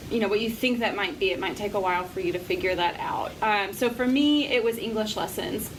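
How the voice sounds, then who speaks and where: Against noticeable background noise and audible room echo, a woman with a fairly high voice talks at a fairly quick pace with hardly any pauses and ordinary pitch variation. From Appalachia. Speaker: nonprofit director. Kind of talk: interview.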